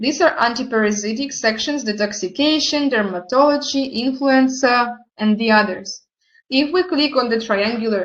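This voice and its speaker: In a quiet background, a woman with a non-native accent speaks at a fairly slow pace, her fairly high voice carrying lively intonation. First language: not English. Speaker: product presenter. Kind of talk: online product presentation.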